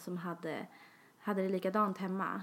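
This is a woman with a medium pitch. She talks at a moderate pace. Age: 20s. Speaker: podcast co-host. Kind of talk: casual chat.

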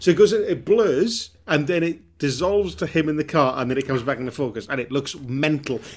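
With a Welsh accent, a man with a fairly high pitch talks at a fairly quick pace, with lively intonation and hardly any pauses. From Wales. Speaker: comedian. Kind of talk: casual chat.

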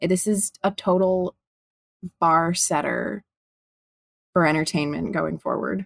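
A woman's fairly low voice, fairly slow with long, frequent pauses and fairly even intonation, in a dry, close sound with no echo. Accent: American. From Chicago, US Midwest. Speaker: actress. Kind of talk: casual chat.

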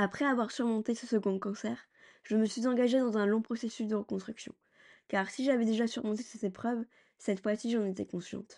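Fairly quick speech with a dark, mellow tone and fairly even intonation plays over a quiet background. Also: woman. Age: 30s. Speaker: podcast host, cancer survivor. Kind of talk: scripted narration.

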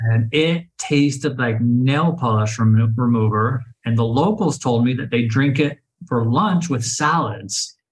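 In a somewhat breathy voice with an American accent, a man speaks at a fairly slow pace and medium pitch, with ordinary pitch variation and very even loudness. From Oklahoma City, Oklahoma. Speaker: author and traveler. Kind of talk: casual interview chat.

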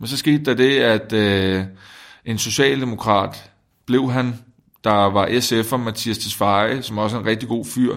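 A man speaks at a very slow pace. His pitch sits in the medium range, and his intonation stays fairly even. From Denmark, provinces. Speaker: politician. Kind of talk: interview. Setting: parliament building, away from studio.

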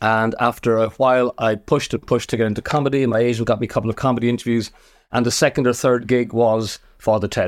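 Very fast and very even in loudness, a man speaks with an Irish accent at a medium pitch in a monotone, flat intonation, recorded very cleanly against a silent background. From Ireland, small seaside town. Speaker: TV comedy director. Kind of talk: interview.

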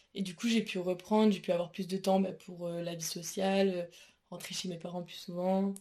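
This woman has a dark, mellow tone at a medium pitch. She talks at a fairly slow pace with monotone, flat intonation. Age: 20s. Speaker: university student. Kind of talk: interview. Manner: hesitant with many fillers.

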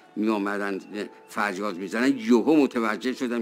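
Music plays in the background. A man speaks at a moderate pace in a fairly low voice. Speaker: cultural historian. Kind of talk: interview.

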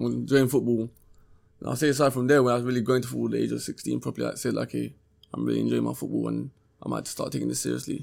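Talking at a very fast pace, a man speaks with a London accent. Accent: London Multicultural English. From South London (Peckham). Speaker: professional footballer. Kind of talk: interview.

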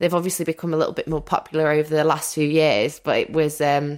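In a Mancunian accent, a woman speaks in an animated tone on a very clean recording with a silent background. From Manchester, northern England. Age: 30s. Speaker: podcaster and former reality TV contestant. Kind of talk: casual interview chat. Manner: animated, laughs often.

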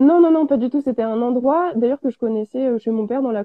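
A woman talks at a very fast pace. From France, Auvergne. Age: 20s. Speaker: ceramic artist. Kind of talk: live interview. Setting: online live stream.

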